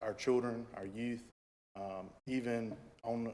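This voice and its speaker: The man's pace is very slow, at a medium pitch. His intonation is a flat monotone. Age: 20s. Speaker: applicant for town board. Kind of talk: public statement at a meeting. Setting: town board meeting. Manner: hesitant, many fillers.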